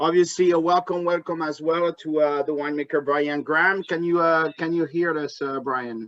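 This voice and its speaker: Speaking with a French accent, a man uses a fairly high pitch and fairly even intonation at a moderate pace with hardly any pauses. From France, Bordeaux. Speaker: wine importer and tasting host. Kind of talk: hosted trade tasting over video call. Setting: video call. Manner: halting, many fillers.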